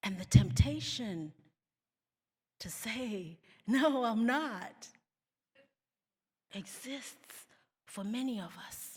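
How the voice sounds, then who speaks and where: At a very slow pace with long, frequent pauses, a somewhat breathy woman speaks in a fairly high pitch with very wide pitch swings. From South Africa. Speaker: keynote speaker. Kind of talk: keynote speech.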